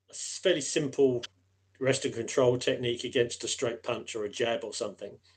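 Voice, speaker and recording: The man's speech moves along at a moderate pace. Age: 60s. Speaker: aikido instructor. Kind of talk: casual chat. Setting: live stream.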